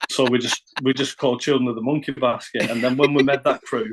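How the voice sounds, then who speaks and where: Delivered in a northern English accent, the speech has a monotone, flat intonation. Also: man. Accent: northern English, kept deliberately. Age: 40s. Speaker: rapper and producer. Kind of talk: podcast interview. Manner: halting.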